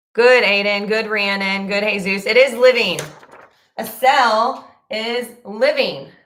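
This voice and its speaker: At a very slow pace, a woman speaks with a fairly high pitch and ordinary pitch variation. Audible room echo is present. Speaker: middle school science teacher. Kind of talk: live online class teaching. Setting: YouTube livestream. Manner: casual, many filler ums.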